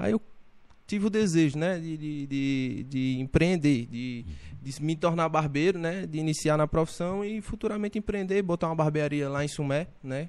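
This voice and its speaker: This is an unremarkable speaking voice from a man. His pitch is fairly high, with ordinary pitch variation. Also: moderate pace. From Brazilian Northeast, Paraíba interior. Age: 20s. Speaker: barber and entrepreneur. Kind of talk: casual interview chat.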